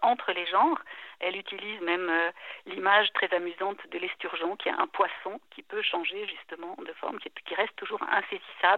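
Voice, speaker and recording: A woman speaks in a normal speaking voice at medium pitch. Her pace is moderate and her intonation fairly even. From French-speaking Switzerland (Neuchâtel, La Chaux-de-Fonds). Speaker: literary translator. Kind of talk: interview.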